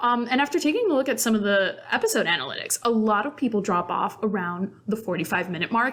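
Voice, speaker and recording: A woman's fairly high voice at a very fast pace, with very even loudness and hardly any pauses. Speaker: podcast host and career author. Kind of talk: solo podcast monologue. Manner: casual, with filler ums.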